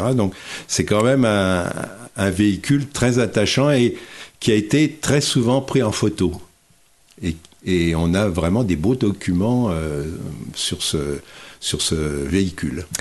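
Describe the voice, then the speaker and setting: Slow to a crawl, a man talks at a fairly low pitch with long, frequent pauses. His intonation is lively, and the background is quiet. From Morvan, Burgundy, France. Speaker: author and retired teacher. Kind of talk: radio interview. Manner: halting.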